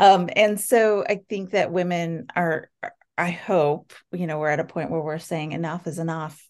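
At a fairly slow pace, a woman with an unremarkable speaking voice talks at a fairly low pitch against a quiet background. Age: 50s. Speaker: podcast host. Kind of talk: interview.

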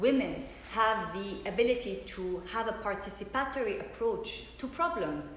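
Fairly high-pitched woman with lively intonation at a moderate pace, amid audible room echo and noticeable background noise. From Lebanon. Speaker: peace mediator. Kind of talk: interview conversation. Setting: embassy.

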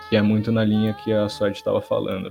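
Noticeable background noise fills the clip. A man delivers his words at a fairly quick pace. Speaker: internet content creator. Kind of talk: casual chat. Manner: halting.

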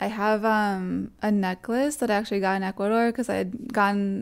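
A woman with an American accent in a normal speaking voice, fairly high in pitch with ordinary pitch variation, at a moderate pace, on a very clean recording with a silent background. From Massachusetts, US. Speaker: DJ and music producer. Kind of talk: casual chat. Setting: in person, Brooklyn.

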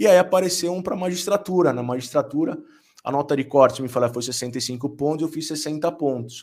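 An unremarkable speaking voice, a man's, fairly high in pitch, at a fairly quick pace with ordinary pitch variation. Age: 40s. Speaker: business lawyer and law professor. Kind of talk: casual interview chat.

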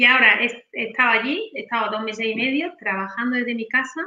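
Talking at a very fast pace, a woman has a high pitch, a bright, sharp tone and ordinary pitch variation. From Spain, Granada (Andalusia). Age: 40s. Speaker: sales closer. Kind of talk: interview. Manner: animated.

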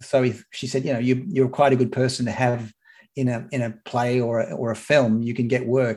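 At a fairly quick pace, a man with an Australian accent speaks at a medium pitch with fairly even intonation. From Sydney, Australia (lower north shore). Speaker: broadcaster and journalist. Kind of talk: casual interview.

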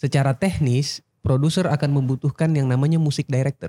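A man speaks with a dark, mellow tone and a somewhat breathy quality. His intonation stays fairly even, and the sound is dry and close with no echo. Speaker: singer. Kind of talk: casual chat. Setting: studio.

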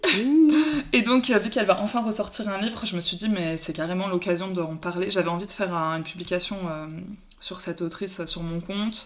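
A woman talks at a fairly quick pace with lively intonation and medium pitch. Noticeable background noise is present. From Paris, France. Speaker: book Instagram account holder. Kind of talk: casual chat.

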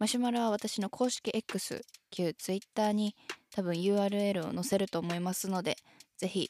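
With a dark, mellow tone, a woman speaks at a medium pitch and fairly slow pace. Her intonation is fairly even, her loudness very even, and the sound dry and close with no echo. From Shizuoka, Japan. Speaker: idol singer. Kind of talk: solo podcast talk. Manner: low-key.

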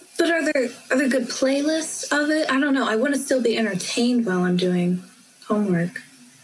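Quick-paced and lively, a woman with an American accent talks at a high pitch. Her loudness stays very even over noticeable background noise. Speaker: university student. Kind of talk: casual chat. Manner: animated.

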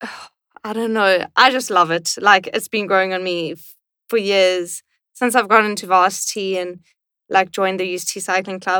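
At a moderate pace, a woman speaks at a medium pitch in a bright, sharp tone, her intonation fairly even but her loudness swinging widely. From South Africa, Cape Town. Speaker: professional cyclist and university student. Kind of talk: casual interview chat.

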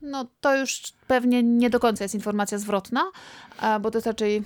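A woman speaks at a fairly high pitch and a moderate pace. Her pitch varies in an ordinary way, with long pauses coming often. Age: 40s. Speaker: podcast co-host and doctoral student. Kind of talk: casual chat.

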